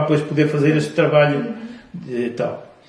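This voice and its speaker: With audible room echo, a man speaks at a moderate pace in a fairly high voice, his intonation fairly even. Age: 70s. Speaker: grandfather, war veteran. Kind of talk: testimony. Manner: halting, with repetitions.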